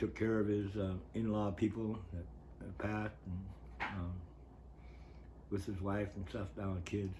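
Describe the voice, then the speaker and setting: A man's fairly low, somewhat breathy voice with a dark, mellow tone, an American accent and fairly even intonation, in audible room echo. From northern California coast. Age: 70s. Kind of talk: interview, life story. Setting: on-camera interview.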